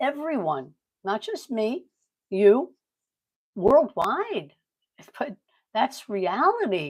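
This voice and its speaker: Very wide pitch swings at a very slow pace. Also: woman. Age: 70s. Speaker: online business coach. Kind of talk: livestream sales pitch. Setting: livestream. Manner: casual, rambling with fillers.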